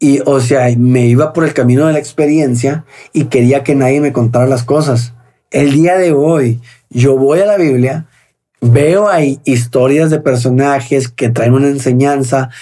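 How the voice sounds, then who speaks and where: A man with a dark, mellow, fairly high voice speaks with very even loudness and fairly even intonation. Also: fairly slow pace. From Mexico, Sonora (Hermosillo). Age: 30s. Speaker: recovered drug addict. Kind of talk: testimony.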